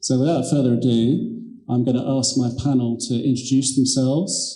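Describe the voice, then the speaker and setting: A man with a British accent speaks at a medium pitch. His moderate pace and fairly even intonation come through with audible room echo. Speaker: panel moderator, lawyer. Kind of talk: conference panel moderation.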